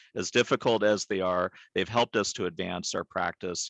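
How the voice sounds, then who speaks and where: Moderately paced, a man speaks in a very deep, low voice with monotone, flat intonation. The sound is dry and close, with no echo. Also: quiet background. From Canada. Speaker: behavioral health leader in psychiatry. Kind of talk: webinar presentation. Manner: frequent fillers (um, uh).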